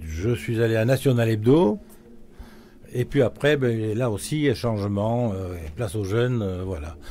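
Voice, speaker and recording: A man's medium-pitched voice with a dark, mellow tone, at a fairly slow pace with ordinary pitch variation. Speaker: cartoonist. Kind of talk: interview. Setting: live event. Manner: halting.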